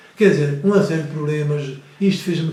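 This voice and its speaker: Amid noticeable background noise and audible room echo, a man speaks with a fairly high pitch. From Azores, Faial island. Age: 70s. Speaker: retired priest. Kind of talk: interview. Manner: halting, many repetitions.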